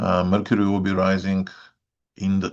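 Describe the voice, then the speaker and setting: A man speaks with a Bulgarian accent in a very deep, low pitch. The background is quiet. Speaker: astrologer. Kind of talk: weekly update talk. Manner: hesitant, many filler sounds.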